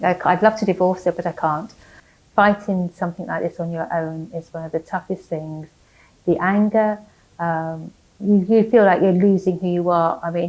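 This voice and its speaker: A woman's fairly low voice with an English accent, fairly even intonation and a moderate pace, in a very clean recording with a silent background. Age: 60s. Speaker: cancer patient and nurse. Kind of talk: testimony. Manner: halting.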